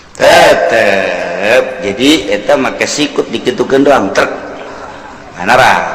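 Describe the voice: A man's fairly low voice at a slow pace, with strong room echo. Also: lively intonation, fairly bright tone.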